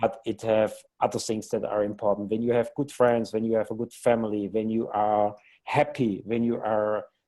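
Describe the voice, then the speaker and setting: Using a non-native accent, a man speaks at a moderate pace in a dark, mellow, medium-pitched voice with monotone, flat intonation. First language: not English. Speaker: company co-founder. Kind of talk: interview. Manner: halting.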